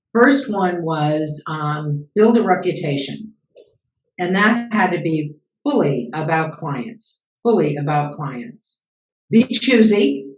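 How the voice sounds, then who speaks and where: Very slow, somewhat breathy female voice, fairly low in pitch, with very wide pitch swings. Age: 70s. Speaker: business founder and CEO coach. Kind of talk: interview.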